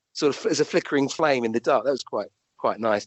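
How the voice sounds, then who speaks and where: A man with a southern English accent at a very fast pace. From London, England. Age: 60s. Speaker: doctor and medium. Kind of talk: interview. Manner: halting.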